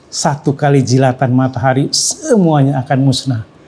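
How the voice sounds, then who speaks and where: A man talks at a moderate pace with a fairly high pitch. His tone is dark, mellow and somewhat breathy. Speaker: Islamic teacher. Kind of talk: Islamic science lecture.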